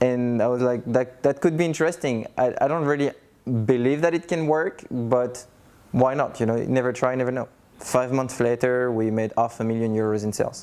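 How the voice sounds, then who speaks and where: Someone with a French accent speaks at a moderate pace. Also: man, medium pitch for a man, ordinary pitch variation. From France. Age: 30s. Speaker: coach, digital nomad. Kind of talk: interview testimony.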